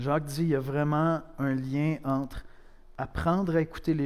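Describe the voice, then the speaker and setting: This man has an ordinary speaking voice with a fairly high pitch. He talks at a moderate pace with fairly even intonation. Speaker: pastor. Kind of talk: sermon, preaching to a congregation, with a prayer. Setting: church. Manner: conversational, direct, addressing the listener as "tu"; earnest, with dry humor and rhetorical questions.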